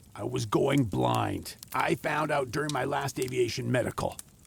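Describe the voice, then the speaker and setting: Using a put-on character voice, a man speaks at a medium pitch. His pace is moderate. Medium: audio drama. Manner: stubborn, wry.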